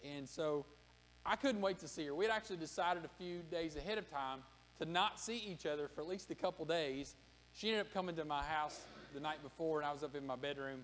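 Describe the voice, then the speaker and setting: Speaking at a very fast pace, a man uses a fairly high pitch with ordinary pitch variation against light background noise. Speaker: pastor. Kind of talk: sermon. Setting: church. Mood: warm personal storytelling. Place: church. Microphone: podium.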